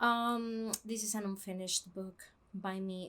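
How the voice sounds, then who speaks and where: A woman's medium-pitched voice with a Spanish accent. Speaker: book vlogger. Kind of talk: casual vlog talk; scripted intro. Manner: halting, many fillers.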